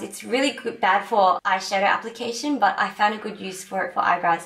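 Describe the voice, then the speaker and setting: Noticeable noise sits behind this recording. A woman speaks at a medium pitch. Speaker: beauty vlogger; teacher. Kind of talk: makeup tutorial talk to camera.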